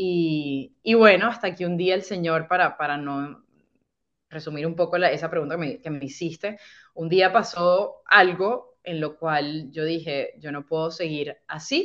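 This woman has an ordinary speaking voice, pitched fairly low with ordinary pitch variation. She speaks at a fairly slow pace over a quiet background. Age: 30s. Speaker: podcaster sharing faith testimony. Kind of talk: testimony.

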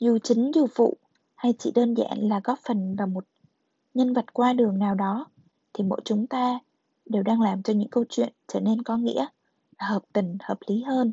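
The speech comes at a fairly slow pace, somewhat breathy, with long, frequent pauses and ordinary pitch variation. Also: woman, fairly high pitch for a woman. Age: young. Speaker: podcast host. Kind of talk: reading aloud; casual monologue.

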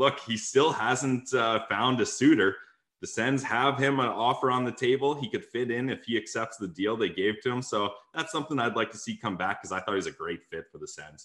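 An ordinary speaking voice moves at a fairly quick pace with hardly any pauses. Its pitch variation is ordinary. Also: man, medium pitch for a man. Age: 20s. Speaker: sports podcaster. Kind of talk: casual chat.

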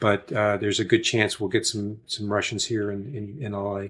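Recorded very cleanly against a silent background, a man with a somewhat breathy, medium-pitched voice speaks at a moderate pace. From Oklahoma. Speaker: acting teacher and filmmaker. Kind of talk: casual interview chat. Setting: podcast studio. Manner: halting, many fillers and repeats.

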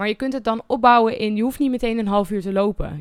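Recorded very cleanly against a silent background, a woman talks at a fairly quick pace in a medium pitch with ordinary pitch variation. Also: dry, close sound with no echo. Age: 20s. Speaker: podcast host sharing concussion recovery experience. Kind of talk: solo podcast monologue. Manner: occasionally stumbling over words.

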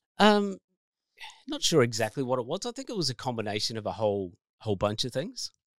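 On a very clean recording with a silent background and a dry, close sound with no echo, a man with an Australian accent talks at a very fast pace broken by long, frequent pauses. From New South Wales, Australia. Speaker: life coach and author. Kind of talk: casual chat.

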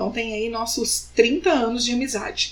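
A woman's fairly high pitch shows ordinary variation as she talks in a normal speaking voice. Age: 30s. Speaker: podcast host. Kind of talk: casual chat.

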